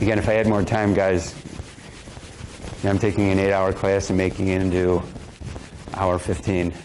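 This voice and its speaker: A man with a very deep, low voice speaks at a moderate pace in a flat monotone at very even loudness, leaving long, frequent pauses, with audible room echo and noticeable background noise. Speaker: coach. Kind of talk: live demonstration workshop.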